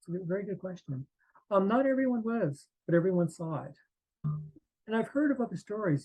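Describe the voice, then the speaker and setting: A man talks at a fairly quick pace with lively intonation while music plays in the background. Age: 60s. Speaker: near-death experience survivor and artist. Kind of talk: interview testimony. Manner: halting, many fillers and restarts.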